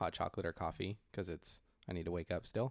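This unremarkable speaking voice has a dry, close sound with no echo on a very clean recording with a silent background. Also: man. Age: 30s. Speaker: podcast co-host. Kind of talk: casual chat.

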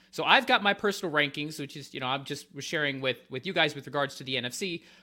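A man with an American accent talks at a very fast pace in a fairly high pitch with ordinary variation. His tone is bright and sharp, in a very clean recording with a silent background. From North Carolina, Winston-Salem. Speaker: football analyst. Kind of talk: casual chat.

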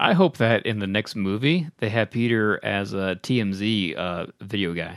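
A man talks in a normal speaking voice at a fairly low pitch, with ordinary pitch variation, a moderate pace and a dry, close sound with no echo. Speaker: podcast host. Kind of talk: casual chat.

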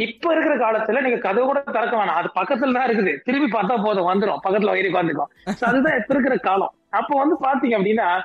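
Against noticeable background noise, a man with extremely high pitch speaks with lively intonation and very even loudness. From India (Tamil). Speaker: pastor and singer. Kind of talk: interview testimony.

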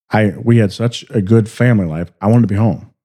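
A man's fairly low voice moves along at a fairly quick clip. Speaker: podcast co-host. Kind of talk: casual chat.

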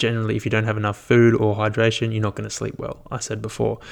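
With an Australian accent, a man delivers his words at a medium pitch. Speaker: solo podcaster, fitness and wellbeing. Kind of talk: casual solo monologue. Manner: casual, filler-heavy.

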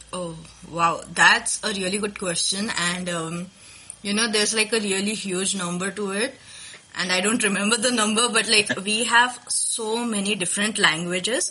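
Pitch moves in an ordinary way through this voice while noticeable background noise carries on underneath. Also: woman, medium pitch for a woman, moderate pace. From India, Maharashtra (Nagpur). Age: 20s. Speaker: podcast host, guest on culture show. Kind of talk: casual interview.

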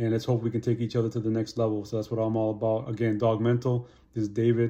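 A man at medium pitch, very fast in pace, dark and mellow in tone, with monotone, flat intonation. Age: 50s. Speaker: motivational YouTuber. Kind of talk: casual monologue to camera. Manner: casual, filler-heavy.

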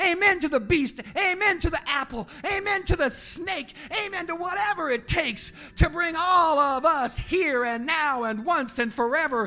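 A man's raised, projected voice at a moderate pace, with lively intonation. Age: 50s. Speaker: slam poet. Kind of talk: poetry performance. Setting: bar stage with audience.

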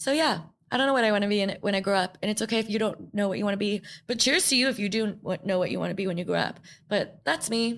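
A woman talks at a very fast pace with medium pitch, ordinary pitch variation and very even loudness, on a very clean recording with a silent background. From New York. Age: 20s. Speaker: podcast host. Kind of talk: solo reflective monologue. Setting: studio. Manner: casual, filler-heavy.

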